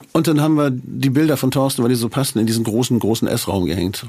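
The speaker goes at a very fast pace with ordinary pitch variation. Noticeable background noise sits behind the voice. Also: man. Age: 60s. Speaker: musician. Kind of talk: casual chat.

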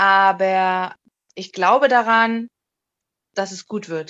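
A woman's voice has a bright, sharp tone over a quiet background. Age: 30s. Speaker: corporate communications assistant. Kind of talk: casual interview chat.

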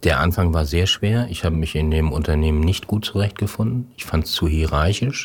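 Somewhat breathy and very deep in pitch, a man talks at a very fast pace with ordinary pitch variation. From northern Germany, Schleswig-Holstein. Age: 60s. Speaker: corporate communications head. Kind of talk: interview.

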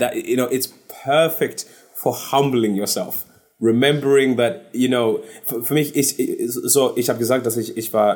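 The man speaks at a fairly slow pace and a medium pitch. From London, England (born in Zimbabwe). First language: English (speaking German). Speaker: singer. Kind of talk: casual interview. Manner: halting, searching for German words.

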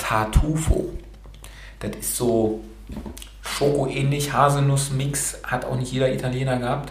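Someone with a non-native accent speaks at a very slow pace with long, frequent pauses. The recording has audible room echo and noticeable background noise. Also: man. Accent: non-native German, self-described imperfect. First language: bilingual German and Romanian (speaking German). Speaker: podcast host. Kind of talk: casual interview.

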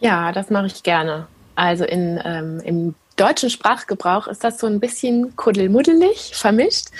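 A woman at medium pitch in an unremarkable speaking voice, fairly slow, with lively intonation. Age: 30s. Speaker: attachment parenting blogger and mother. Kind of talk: interview.

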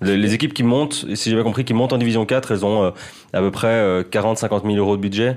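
A man's unremarkable speaking voice at a fairly quick clip, with hardly any pauses, fairly even intonation and very even loudness. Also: fairly low pitch for a man. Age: 20s. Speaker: freelance football journalist. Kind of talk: casual chat.

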